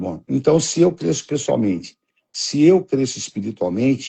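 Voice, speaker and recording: The speaker goes at a fairly slow pace with vocal fry. The intonation is lively. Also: man. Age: 70s. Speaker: pastor. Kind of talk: religious teaching conversation.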